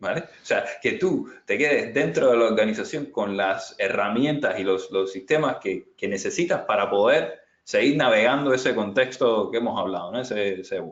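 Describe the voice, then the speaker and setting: Here a man talks at a moderate pace. He leaves hardly any pauses. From Cuba. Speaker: agile transformation consultant. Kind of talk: webinar presentation and Q&A. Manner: hesitant, many fillers and repetitions.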